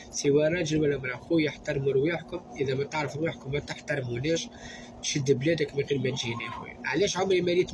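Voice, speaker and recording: Noticeable background noise sits behind the recording. A man talks at a very fast pace with ordinary pitch variation. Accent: Tunisian. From Tunisia. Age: young. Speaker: social media vlogger. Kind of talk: angry rant to camera. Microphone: phone near.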